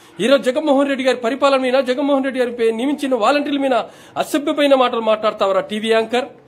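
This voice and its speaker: This man has an extremely high pitch. His intonation is fairly even. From Andhra Pradesh. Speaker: village volunteer. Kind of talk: angry warning rant. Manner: loud. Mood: angry, warning tone. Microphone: phone near.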